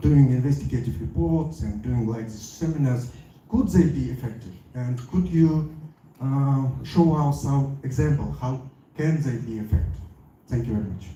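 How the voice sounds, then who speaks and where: A man speaks at a moderate pace with a medium pitch and lively intonation, with audible room echo and noticeable background noise. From Kyrgyzstan. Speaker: audience member asking a question. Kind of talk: question at a panel discussion. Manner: halting.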